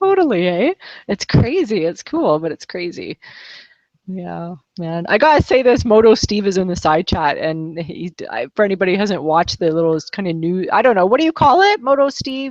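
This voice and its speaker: In a dry, close sound with no echo, a woman at a medium pitch speaks in an animated tone with very wide pitch swings. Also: moderate pace. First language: French. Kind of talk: casual chat. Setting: online livestream video call.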